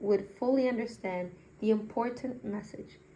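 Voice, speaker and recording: Recorded with audible room echo, a woman talks at a moderate pace in a fairly high pitch with ordinary pitch variation. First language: not English. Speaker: magazine reader, channel owner. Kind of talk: reading aloud. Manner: halting; self-correcting.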